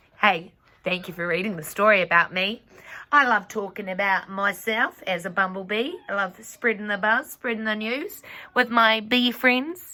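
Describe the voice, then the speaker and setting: Putting on a character voice, a female-sounding speaker uses a playful tone, a medium pitch and a moderate pace. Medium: read story. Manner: friendly, playful.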